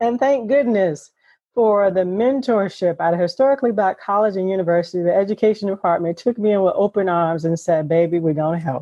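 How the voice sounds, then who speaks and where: The speaker has a normal speaking voice. The pace is fairly quick, with ordinary pitch variation. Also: woman, medium pitch for a woman. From US South, South Carolina low country. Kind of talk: interview.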